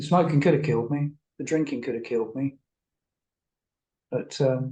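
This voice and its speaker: A man's fairly high, somewhat breathy voice with an English accent, a dark, mellow tone, fairly even intonation and a moderate pace. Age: 60s. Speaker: therapist. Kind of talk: interview.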